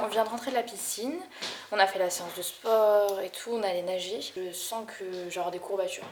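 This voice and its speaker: Noticeable background noise and audible room echo surround a woman who talks at a moderate pace with a medium pitch. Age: 20s. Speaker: vlogger. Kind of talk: casual vlog talk. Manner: hesitant, with fillers.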